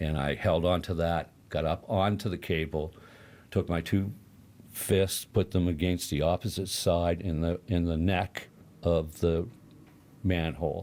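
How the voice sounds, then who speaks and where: The man's pitch is very deep and low. He talks at a fairly slow pace with fairly even intonation. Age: 70s. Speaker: accident survivor. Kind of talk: interview.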